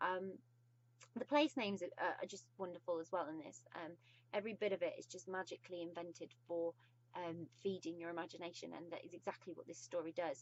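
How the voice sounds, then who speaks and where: With a British accent and an enthusiastic tone, a woman speaks at a fairly quick pace in a fairly low pitch, showing ordinary pitch variation and big swings in loudness. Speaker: book reviewer. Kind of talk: casual book review vlog. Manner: hesitant, many ums.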